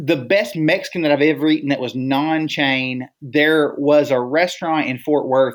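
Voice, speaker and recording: A man with a normal speaking voice, fairly high in pitch with ordinary variation, at a fairly slow pace on a very clean recording with a silent background. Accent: American. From Texas Gulf Coast. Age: 40s. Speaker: ministry leader and guest. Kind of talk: casual podcast interview.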